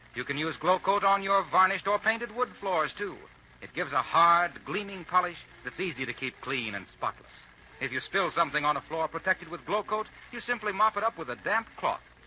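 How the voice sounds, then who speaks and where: Over noticeable background noise, a high-pitched man talks at a fairly quick pace. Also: ordinary pitch variation. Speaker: radio announcer. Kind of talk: old-time radio commercial read.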